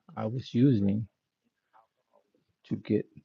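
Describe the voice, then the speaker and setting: Soft-spoken, a man talks in a dry, close sound with no echo. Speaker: motivational speaker. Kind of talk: live stream talk. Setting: home live stream.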